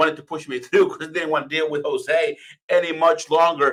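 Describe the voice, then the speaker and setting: This man speaks with a Spanish accent at a fairly high pitch and a fairly quick pace. His tone is bright and sharp, and his intonation is fairly even. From Venezuela, then Florida from age ten. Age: 30s. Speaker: communications and PR expert. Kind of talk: presentation to live online audience.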